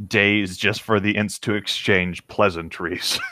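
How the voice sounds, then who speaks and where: A man with an ordinary speaking voice and a fairly low pitch speaks at a fairly slow pace, the sound dry and close with no echo. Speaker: podcast co-host reading fan fiction. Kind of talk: reading aloud.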